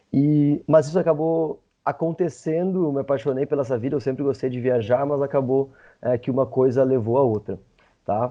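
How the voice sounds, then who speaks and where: A man talks at a medium pitch with ordinary pitch variation in a normal speaking voice. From Brazil, interior of Rio Grande do Sul. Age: 30s. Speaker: travel content creator, former lawyer. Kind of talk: podcast interview.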